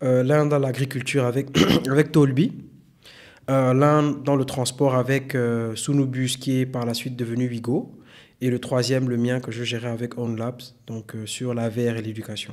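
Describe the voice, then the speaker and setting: Here a man speaks in a flat monotone. His pitch is medium and his pace moderate. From Gabon (Senegalese parents). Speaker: tech consultant and data science instructor. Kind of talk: podcast interview.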